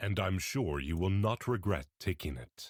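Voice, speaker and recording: In a put-on character voice, a man speaks at a moderate pace with very deep, low pitch and lively intonation, the sound dry and close with no echo. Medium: read story. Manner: earnest, courteous.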